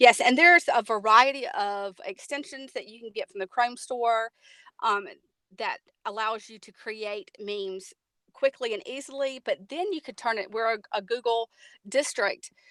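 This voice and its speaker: A woman with a Southern US accent speaks at a moderate pace in a fairly high, bright, sharp voice with ordinary pitch variation, big swings in loudness, and a dry, close sound with no echo. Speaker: technology coach. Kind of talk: webinar presentation. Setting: online webinar.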